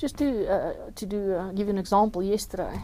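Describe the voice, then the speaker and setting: A woman with a South African accent, medium in pitch, with fairly even intonation and a dark, mellow tone. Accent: Afrikaans South African English. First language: Afrikaans. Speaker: journalist and crime novelist. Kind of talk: interview. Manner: halting, with fillers and repetitions.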